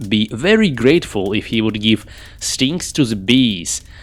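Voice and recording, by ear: With lively intonation, the clip is reading aloud in a natural voice.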